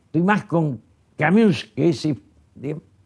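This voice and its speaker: A man speaks at a very slow pace with vocal fry. His tone is dark and mellow, and his pitch varies in an ordinary way. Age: 80s+. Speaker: former politician and writer. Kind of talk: interview. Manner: halting.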